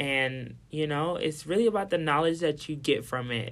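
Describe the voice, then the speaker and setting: A man with an American accent uses a normal speaking voice, fairly high in pitch with ordinary pitch variation at a moderate pace, on a very clean recording with a silent background. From Milwaukee, Wisconsin. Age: young (19). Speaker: dancer and dance teacher. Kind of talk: casual chat.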